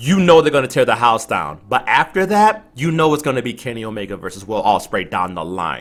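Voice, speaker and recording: Hardly pausing, a man of medium pitch talks at a fairly quick pace with very wide pitch swings and vocal fry. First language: not English. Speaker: podcast co-host. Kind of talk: casual chat. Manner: animated.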